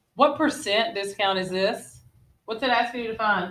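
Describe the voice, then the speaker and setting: A woman's fairly high voice shows ordinary pitch variation. Audible room echo is present. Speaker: middle school math teacher. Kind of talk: classroom lesson. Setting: classroom. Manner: fast.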